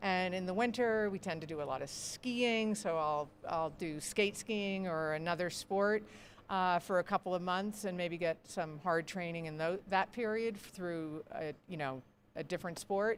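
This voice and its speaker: An unremarkable speaking voice moves at a moderate pace, its pitch varying in an ordinary way. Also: woman, medium pitch for a woman. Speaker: ultrarunner and race board president. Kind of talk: interview. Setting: live broadcast at race venue.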